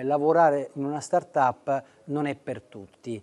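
A man with a fairly high pitch speaks in a dark, mellow tone, his pitch varying in an ordinary way. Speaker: interviewer, journalist. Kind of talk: interview. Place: hall. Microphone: lapel.

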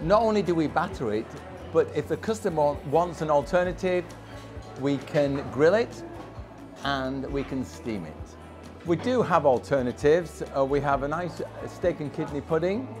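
Clear music plays in the background as a man speaks at a moderate pace with long, frequent pauses. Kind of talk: interview answer. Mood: proud, friendly promotion. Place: cafe. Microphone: lapel.

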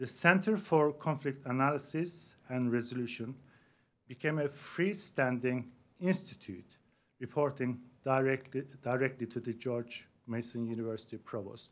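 A man at a moderate pace, with ordinary pitch variation. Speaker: host introducing a lecturer. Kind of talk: formal introduction speech. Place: hall.

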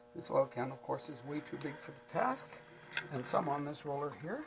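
Against noticeable background noise, a man speaks at a moderate pace in a fairly high pitch. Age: 80s+. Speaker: letterpress printer. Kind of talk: hands-on machine maintenance demonstration. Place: workshop. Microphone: camera far.

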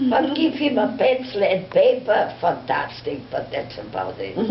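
Audible room echo surrounds a woman's voice, along with light background noise. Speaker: storyteller. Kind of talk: personal storytelling. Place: home room.

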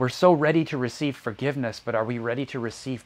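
A man talks at a fairly quick pace in a warm tone. His pitch variation is ordinary. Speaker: preacher. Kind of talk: sermon. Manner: earnest, warm, reflective preaching cadence. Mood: calm, earnest. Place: home room. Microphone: lapel.

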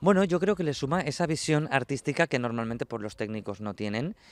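A man's voice in a dry sound with no echo. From Tarragona, Catalonia; Catalonia. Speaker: flamenco dancer and festival artistic director. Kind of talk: interview. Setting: outdoors. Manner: halting. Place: street. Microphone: handheld.

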